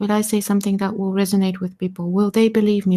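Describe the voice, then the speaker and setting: A woman's dark, mellow tone comes through with monotone, flat intonation on a very clean recording with a silent background. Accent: non-native. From Eastern Europe. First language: not English. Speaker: community member on audio space. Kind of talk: live audio space discussion.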